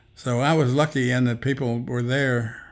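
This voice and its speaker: This man speaks with an Appalachian accent at a medium pitch. His intonation stays monotone and flat. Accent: Appalachian American. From Appalachia, southwestern Virginia and West Virginia. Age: 80s+. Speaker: elderly interviewee, army veteran. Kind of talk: interview, life story.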